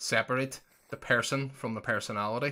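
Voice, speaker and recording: A man speaks at a fairly high pitch with a Northern Irish accent and a bright, sharp tone. The recording is very clean, with a silent background. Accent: Derry Northern Irish. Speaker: podcast host. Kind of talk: casual chat; scripted narration.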